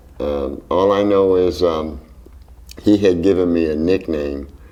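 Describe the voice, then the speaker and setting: There is audible room echo as a man with a very deep, low voice and a dark, mellow tone speaks at a fairly slow pace. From Philadelphia, Strawberry Mansion. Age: 70s. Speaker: jazz drummer. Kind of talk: interview. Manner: hesitant, with fillers.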